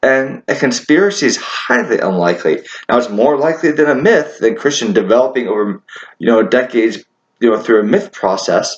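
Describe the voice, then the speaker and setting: This man talks at a medium pitch, his voice making very wide pitch swings. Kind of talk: casual monologue to camera. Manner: halting, repeated words.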